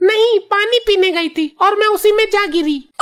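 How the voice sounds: A female-sounding cartoonish character voice squeaks out words at an extremely high pitch and a moderate pace.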